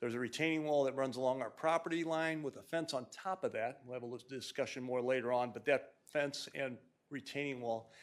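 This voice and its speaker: A man talks at a fairly quick pace in a plain, everyday voice, medium in pitch with ordinary variation. The recording is very clean, with a silent background. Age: 60s. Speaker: engineer presenting a development plan. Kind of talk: project presentation at public hearing. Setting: city commission meeting. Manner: casual, self-deprecating, with many fillers.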